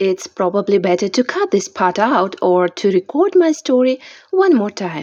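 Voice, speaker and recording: A woman's fairly high pitch with very wide pitch swings at a fairly slow pace. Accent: non-native. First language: not English. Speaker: amateur author reading own novel. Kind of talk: reading aloud.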